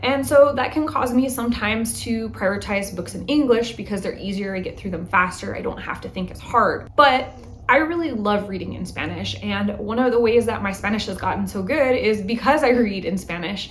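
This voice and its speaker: Over noticeable background noise and audible room echo, a woman with a fairly high pitch talks at a fairly quick pace, with hardly any pauses and big swings in loudness. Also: ordinary pitch variation. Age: 30s. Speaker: book vlogger. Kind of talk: casual vlog monologue. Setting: home. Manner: chatty, conversational.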